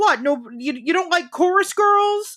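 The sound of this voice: A put-on character voice at an extremely high pitch, on a very clean recording with a silent background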